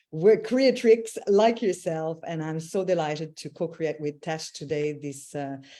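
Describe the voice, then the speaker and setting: Against a quiet background, a woman speaks in a Quebec accent. Her tone is dark and mellow, her pitch very deep and low, and her pace fairly slow. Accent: Quebec French accent, kept. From Quebec, Canada (Montreal). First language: French. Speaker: intuitive mentor and voice healer. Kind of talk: casual live-stream chat.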